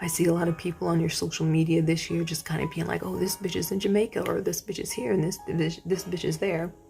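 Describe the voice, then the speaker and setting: A woman at a very fast pace with hardly any pauses, and music in the background. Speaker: tarot card reader. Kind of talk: pick-a-card tarot reading. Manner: casual, with many fillers.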